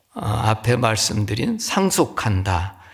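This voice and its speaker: A man speaks in a Chungcheong accent with a gentle tone. His pace is very slow. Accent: Chungcheong regional. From Chungcheong, Korea. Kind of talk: teaching, explanatory. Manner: slow, soft, gentle.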